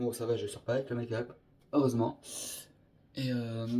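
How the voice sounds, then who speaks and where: Somewhat breathy and dark, mellow in tone, a man speaks in a monotone with flat intonation. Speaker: makeup vlogger. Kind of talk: makeup tutorial.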